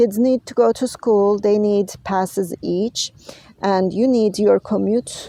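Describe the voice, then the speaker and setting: Speaking very slowly with a non-native accent, a woman uses a medium-pitched, dark, mellow voice with fairly even intonation. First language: not English. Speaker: health and wellness vlogger. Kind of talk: advocacy vlog monologue. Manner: halting, many filler words.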